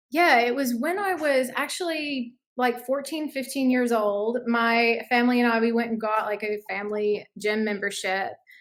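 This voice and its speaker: Speaking at a moderate pace with hardly any pauses, a woman uses a high pitch and ordinary pitch variation. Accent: Southern US. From US South, North Alabama. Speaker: challenge participant. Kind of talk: interview.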